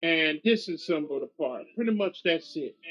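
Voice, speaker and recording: A man's lively intonation rises and falls as he talks at a fairly slow pace. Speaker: gaming YouTuber. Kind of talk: gameplay commentary. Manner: casual, repetitive phrasing.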